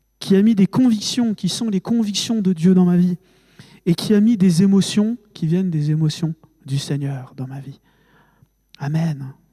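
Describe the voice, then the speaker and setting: A man with a high pitch and a dark, mellow tone speaks at a fairly slow pace with long, frequent pauses and ordinary pitch variation, the sound dry and close with no echo. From France, Haute-Marne. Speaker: preacher. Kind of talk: sermon. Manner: emotional, halting with fillers.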